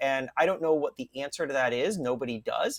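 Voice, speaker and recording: A man with a squeaky voice talks at a fairly quick pace in an animated tone with lively intonation. The sound is dry and close, with no echo. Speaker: author. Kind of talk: interview. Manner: fast and animated.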